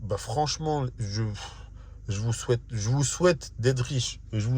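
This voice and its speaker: Ordinary pitch movement in a voice that is somewhat breathy. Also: man. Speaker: vlogger. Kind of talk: casual vlog monologue. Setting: in a car.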